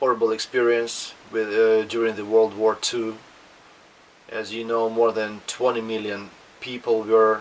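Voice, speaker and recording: Against noticeable background noise, a man speaks fairly slowly in a flat monotone. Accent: Russian. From Russia. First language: Russian. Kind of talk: casual talk to camera. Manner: hesitant, with fillers.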